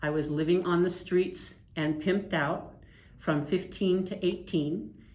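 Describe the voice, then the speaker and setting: Audible room echo surrounds a woman with an American accent whose intonation stays fairly even. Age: 60s. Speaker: trafficking survivor. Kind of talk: testimony.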